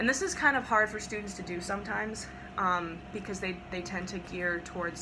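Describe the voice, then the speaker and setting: Audible room echo and noticeable background noise surround a woman speaking at medium pitch. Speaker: voice teacher. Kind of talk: tutorial.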